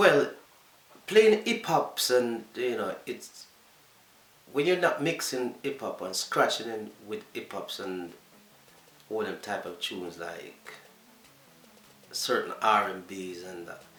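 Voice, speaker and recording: With a Jamaican accent, a man speaks at a very slow pace with long, frequent pauses and big swings in loudness, in a room with audible echo. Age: 50s. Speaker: DJ. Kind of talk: interview.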